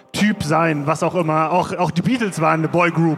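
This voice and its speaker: A man is speaking. His pitch is fairly high. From Bonn, Germany. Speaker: DJ and music producer. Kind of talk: live panel discussion. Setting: stage with audience. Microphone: poor recording quality.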